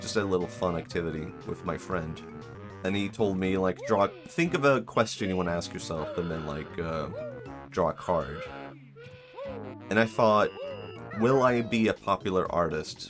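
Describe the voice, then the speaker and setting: Over music in the background, a man with a very deep, low pitch speaks at a moderate pace with lively intonation and long, frequent pauses. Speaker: vtuber streamer. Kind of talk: casual livestream talk.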